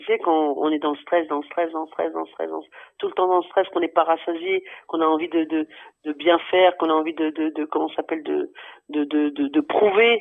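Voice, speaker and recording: Using an unremarkable speaking voice, a man talks with a fairly high pitch and fairly even intonation. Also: fairly quick pace. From France, Paris area. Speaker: basketball arena announcer. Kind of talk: podcast interview.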